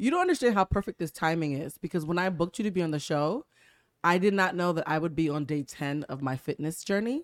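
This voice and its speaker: A woman talks at a very fast pace with an animated tone. Her pitch is fairly low, with ordinary pitch variation. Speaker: podcast host. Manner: talks like a newscaster; animated, laughs often.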